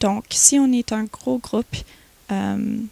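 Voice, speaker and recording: A woman with an English accent speaks at a very slow pace, the sound dry and close with no echo. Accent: English-speaker accent in French. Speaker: student association president. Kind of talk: TV interview. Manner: halting, many repetitions.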